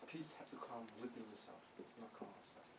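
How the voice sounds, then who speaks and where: A man with a non-native accent speaks at a moderate pace, his intonation lively. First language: Vietnamese. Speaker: Buddhist monk teacher. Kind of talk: dharma talk. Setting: monastery. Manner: halting.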